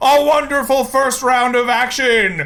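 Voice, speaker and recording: A put-on character voice booms at a fairly high pitch. Its tone is dramatic and its pace fairly slow. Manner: booming, dramatic.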